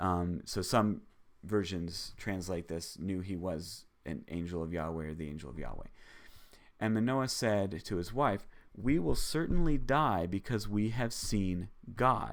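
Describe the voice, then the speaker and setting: A man speaks fairly slowly in a very deep, low voice with lively intonation, his words carrying audible room echo. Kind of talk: live bible teaching stream. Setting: live stream.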